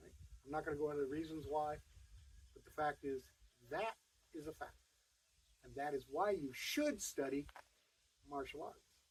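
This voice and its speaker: A man with a fairly high pitch sounds somewhat breathy, keeping fairly even intonation amid big swings in loudness and long, frequent pauses. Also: moderate pace. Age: 70s. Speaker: martial arts instructor. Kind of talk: direct-to-camera talk.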